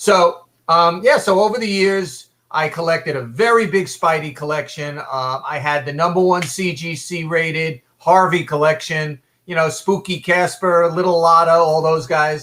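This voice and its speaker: The tone is bright and sharp, with ordinary pitch variation. The pace is moderate. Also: man, high pitch for a man. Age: 60s. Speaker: comic book collector. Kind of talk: casual chat. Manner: halting, many fillers.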